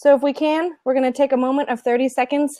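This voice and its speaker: A woman with an American accent, high in pitch, at a moderate pace, with a dry, close sound and no echo. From northern Nevada. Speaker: elementary teacher, show co-host. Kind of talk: casual chat.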